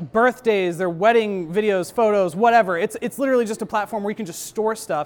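On a very clean recording with a silent background, a man talks at a fairly quick pace. His pitch is high, with ordinary pitch variation. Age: 20s. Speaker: YouTube creator, speaker. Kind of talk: talk to an audience. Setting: live event with audience. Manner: casual, many filler words.

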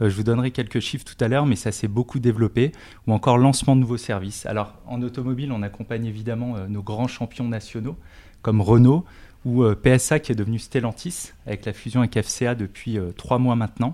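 In a very clean recording with a silent background, a man speaks at medium pitch with a dark, mellow tone and fairly even intonation. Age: 40s. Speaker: tech company industry director. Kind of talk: interview.

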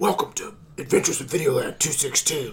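A man's high, put-on character voice at a moderate pace. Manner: brooding, dramatic.

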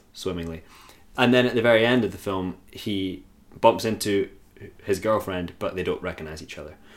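At a fairly quick pace, a man speaks in a normal speaking voice with a fairly low pitch and ordinary pitch variation. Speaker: podcast host. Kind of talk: casual banter, film discussion. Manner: joking, laughs a lot, profane.

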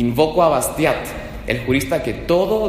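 There is noticeable background noise and audible room echo as a man talks. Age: 20s. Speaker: lawyer. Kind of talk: public testimony before legislators. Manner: formal.

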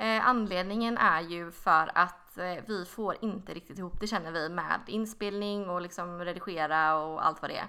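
Big swings in loudness mark this woman's bright, sharp voice, which runs on with hardly any pauses. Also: fairly low pitch for a woman, ordinary pitch variation, moderate pace. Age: 20s. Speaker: podcast co-host. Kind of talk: casual chat.

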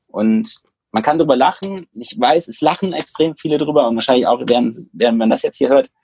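A man talks at a fairly quick pace with a fairly high pitch and lively intonation. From Germany, Düsseldorf. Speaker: tech entrepreneur and AI consultant. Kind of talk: interview conversation. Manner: hesitant, many fillers.

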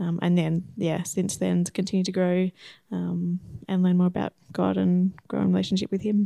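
An Australian accent from a woman at a moderate pace, on a very clean recording with a silent background. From Australia (Shepparton, Victoria). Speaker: optometrist, missionary candidate. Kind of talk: interview.

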